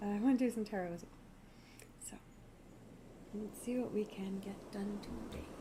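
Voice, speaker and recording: Someone soft-spoken talks at a moderate pace with long, frequent pauses over noticeable background noise. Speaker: witchcraft livestreamer. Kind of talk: casual livestream chat. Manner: halting, many fillers.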